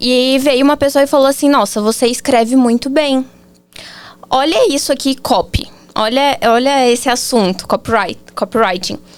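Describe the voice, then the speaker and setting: The pace is moderate. Loudness stays very even. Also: woman, high pitch for a woman, ordinary pitch variation. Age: 20s. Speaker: marketing agency founder, copywriter. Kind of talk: podcast interview.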